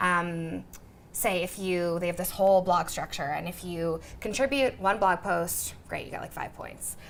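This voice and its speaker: A woman speaks in an energetic tone at a fairly low pitch. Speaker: content marketing director. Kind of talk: interview Q&A. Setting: room with live audience. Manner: fast, energetic.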